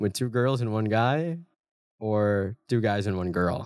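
Here a man has an unremarkable speaking voice at medium pitch. He speaks at a fairly slow pace, and the sound is dry and close, with no echo. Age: 20s. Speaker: podcast co-host. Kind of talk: casual chat.

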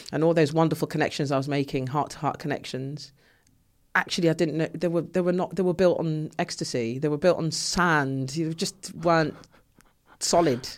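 On a very clean recording with a silent background, a woman with a very deep, low pitch speaks in an animated tone at a moderate pace. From Ghana, moved to London at twelve. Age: 40s. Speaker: artist. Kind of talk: interview conversation. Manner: animated, laughs often; hesitant, many fillers and restarts.

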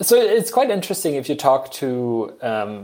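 This very clean recording has a silent background. A man talks with ordinary pitch variation. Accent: German. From Germany. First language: German. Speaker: engineering professor. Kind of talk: casual interview.

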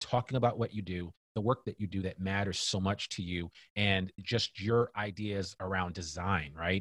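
A man with a normal speaking voice talks at a moderate pace, his pitch fairly low. The recording is very clean with a silent background, and the sound is dry and close with no echo. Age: 50s. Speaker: podcaster and business consultant. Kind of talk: casual interview.

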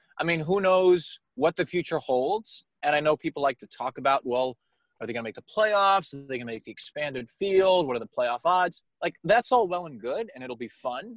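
Over a quiet background, a man with a fairly high pitch speaks with lively intonation and big swings in loudness, the sound dry and close with no echo. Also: moderate pace. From Long Island, New York. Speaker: team broadcaster. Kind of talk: casual interview.

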